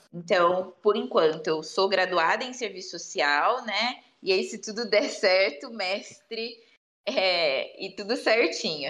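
Here a woman talks very slowly. Her voice sits at a medium pitch. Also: ordinary pitch variation. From Brazil, São Paulo state (Bauru). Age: 20s. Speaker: social worker. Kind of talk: interview conversation.

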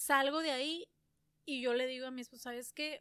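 A woman projects a raised voice at a high pitch, her tone bright and sharp. The recording is very clean, the background silent. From San Luis Río Colorado, Sonora, Mexico. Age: 30s. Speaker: entrepreneur. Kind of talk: casual interview chat. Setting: on a ranch. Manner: talkative.

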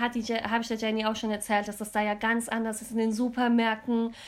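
A woman speaks at a moderate pace with a fairly high pitch and monotone, flat intonation. The recording is very clean, and the background is silent. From Germany, Cologne. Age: 20s. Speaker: podcast co-host. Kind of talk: casual chat.

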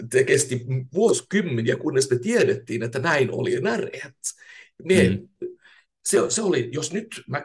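The man's voice is somewhat breathy. He keeps to a moderate pace. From Finland, Turku. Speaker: professor of innovation and leadership. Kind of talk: casual interview. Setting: remote studio. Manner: frequent hesitations.

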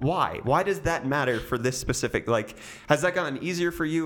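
A normal speaking voice with an American accent talks at a fairly quick pace. Its pitch varies in an ordinary way. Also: man. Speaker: podcast host. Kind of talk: casual interview chat.

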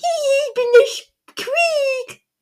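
Pitched extremely high, the voice is a put-on character voice. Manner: mocking.

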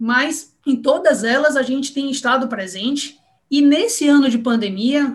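A woman speaks in a northeastern Brazilian accent with a high pitch. Her pace is fairly slow and her pitch variation ordinary. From Salvador, Bahia, Brazil. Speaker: bank marketing executive. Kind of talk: interview.

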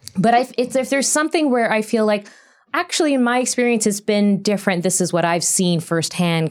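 A woman talks at a fairly quick pace in a normal speaking voice, her pitch fairly high and her intonation lively. Her loudness stays very even, and the recording is very clean with a silent background. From Canada. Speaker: TV writer. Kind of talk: panel discussion.

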